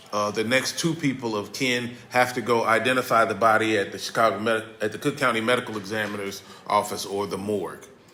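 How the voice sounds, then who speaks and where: Amid noticeable background noise, a man of medium pitch speaks at a fairly quick pace with hardly any pauses and fairly even intonation. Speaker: victim advocate and pastor. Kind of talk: workshop presentation.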